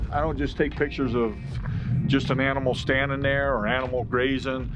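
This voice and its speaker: Audible room echo colors this man's speech. Behind him, music is playing. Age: 70s. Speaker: wildlife photographer. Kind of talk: casual interview talk.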